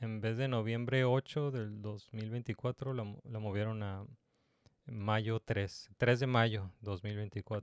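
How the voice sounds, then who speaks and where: A man talks at a very slow pace with medium pitch and fairly even intonation. The sound is dry and close, with no echo. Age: 30s. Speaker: podcast host. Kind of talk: casual chat.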